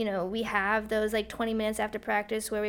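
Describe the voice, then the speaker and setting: With an American accent, a woman talks at a fairly high pitch in a flat monotone, on a very clean recording with a silent background. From Glastonbury, Connecticut. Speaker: track and cross-country coach. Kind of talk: casual chat.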